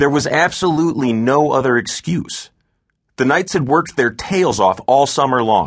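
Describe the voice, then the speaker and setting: Moderately paced speech with vocal fry and lively intonation over a quiet background. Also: man. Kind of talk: audiobook narration. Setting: studio. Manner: measured, steady storyteller pacing.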